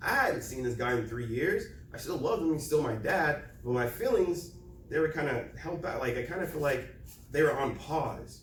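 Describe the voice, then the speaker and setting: With audible room echo, a man speaks at a fairly high pitch and a moderate pace, using ordinary pitch variation. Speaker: motivational speaker. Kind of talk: presentation. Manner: loud.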